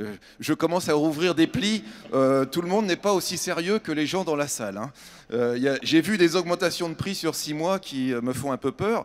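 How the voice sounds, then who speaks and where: Noticeable background noise behind a man's fairly high-pitched, lively speech at a moderate pace. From France, Châtellerault. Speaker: building industry executive. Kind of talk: panel discussion. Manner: halting.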